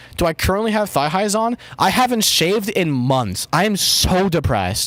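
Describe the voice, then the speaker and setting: A man's high-pitched voice with lively intonation, moderate pace and very even loudness, over noticeable background noise. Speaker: streamer. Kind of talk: casual, profane. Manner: frequent swearing, self-deprecating.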